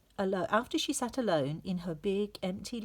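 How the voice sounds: The speaker uses a natural reading voice. The text is read out that way.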